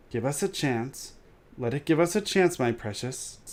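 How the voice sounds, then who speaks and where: A hissing put-on character voice at a moderate pace, on a very clean recording with a silent background. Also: man, fairly high pitch for a man. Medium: read story. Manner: talks to himself, sly, broken grammar.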